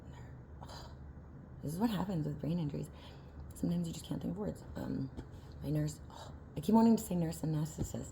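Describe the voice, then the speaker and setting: A woman talks at a very fast pace with long, frequent pauses and big swings in loudness. There is audible room echo. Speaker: vlogger. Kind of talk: casual vlog monologue. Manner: halting, many filler words.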